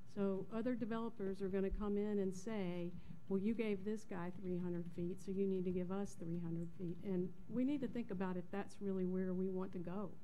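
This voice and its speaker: At a moderate pace and with fairly even intonation, a woman speaks over light background noise. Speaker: planning board member. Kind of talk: board deliberation at a public meeting. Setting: public meeting room with microphones. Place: hall.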